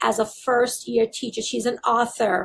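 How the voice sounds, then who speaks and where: A woman with a slight Barbadian accent speaks at a fairly high pitch. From Barbados. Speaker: school district leader. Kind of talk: interview.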